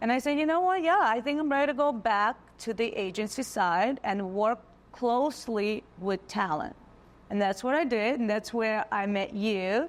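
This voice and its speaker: A woman with a Russian accent talks at a moderate pace in a fairly high voice. Her intonation is lively and her loudness stays very even. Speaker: modeling agency owner. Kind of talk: casual interview chat.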